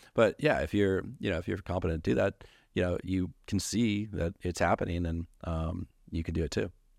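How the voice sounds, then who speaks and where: The recording is very clean, with a silent background. A man speaks in a very deep, low pitch. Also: ordinary pitch variation, moderate pace, dry, close sound with no echo. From moved around US states, Virginia to Colorado. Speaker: entrepreneur. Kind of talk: casual chat.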